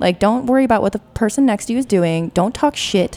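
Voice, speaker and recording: With a normal speaking voice, a woman talks at a fairly quick pace, her fairly high pitch carried by lively intonation. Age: 30s. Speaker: guest. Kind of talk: casual chat.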